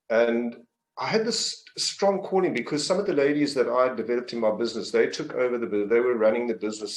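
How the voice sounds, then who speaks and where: Someone with a South African accent talks at a very fast pace. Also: man. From South Africa, Port Elizabeth, Eastern Cape. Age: 60s. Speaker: business coach. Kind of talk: interview. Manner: halting, many fillers.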